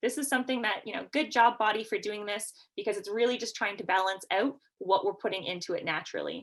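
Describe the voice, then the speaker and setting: This woman talks at a fairly quick pace in a fairly high pitch. She has a Canadian accent and ordinary pitch variation. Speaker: nurse practitioner and educator. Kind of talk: lecture. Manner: fast.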